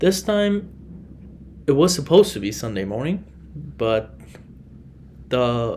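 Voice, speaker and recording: The pace is moderate. A man talks with a non-native accent. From Iran. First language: Farsi. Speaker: podcast host. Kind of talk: solo podcast monologue.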